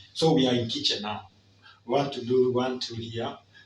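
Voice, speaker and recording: A man at a moderate pace, with audible room echo. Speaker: family vlogger. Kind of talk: casual cooking vlog. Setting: home kitchen. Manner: halting, many fillers and repetitions.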